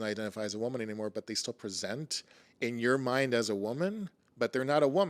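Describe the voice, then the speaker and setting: A man, in a dry, close sound with no echo. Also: very clean recording, silent background. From Costa Rica. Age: 40s. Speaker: musician and artist. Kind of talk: interview conversation.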